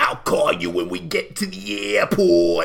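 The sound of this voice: Putting on a raspy character voice, a man speaks at a moderate pace against light background noise.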